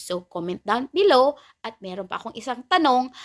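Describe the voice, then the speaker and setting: A woman speaks with a Filipino accent. The sound is dry and close, with no echo. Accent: Filipino English and Tagalog. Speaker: YouTube reaction vlogger. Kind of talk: angry rant, scornful reaction commentary. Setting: home recording, reacting to a video clip. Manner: heated, indignant, repeating 'nako, nako' in sputtering outrage; sarcastic, exasperated, jabbing at the target.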